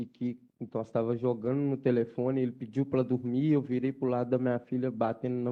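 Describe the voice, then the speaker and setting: Pitched at a medium level, a man's voice moves along at a fairly quick pace. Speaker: defendant in jury trial. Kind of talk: courtroom testimony.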